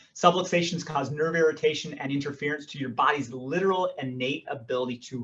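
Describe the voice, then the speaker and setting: Ordinary pitch variation in a man's speech. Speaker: chiropractor. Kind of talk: health workshop talk. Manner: fast.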